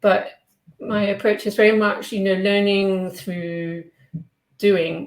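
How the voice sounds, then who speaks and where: With a British accent, a woman speaks at a medium pitch and a very slow pace, her intonation fairly even and her pauses long and frequent. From Britain. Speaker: online English teacher. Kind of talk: interview.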